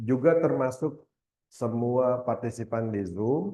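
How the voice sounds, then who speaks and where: Lively intonation carries a man's dark, mellow tone at medium pitch, spoken with a West Javanese accent. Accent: Sundanese. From West Java, Indonesia (Bogor). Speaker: university lecturer, keynote speaker. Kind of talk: seminar presentation. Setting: hybrid seminar with live audience and Zoom.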